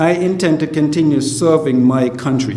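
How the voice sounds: A man talks at a moderate pace with fairly high pitch, ordinary pitch variation, and audible room echo.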